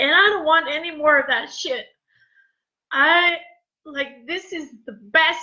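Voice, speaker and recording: An extremely high-pitched, raised and projected female voice, bright and sharp in tone, fairly slow with long, frequent pauses. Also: ordinary pitch variation. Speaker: former teacher, life coach. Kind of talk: emotional live stream monologue. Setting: Facebook live video. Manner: loud.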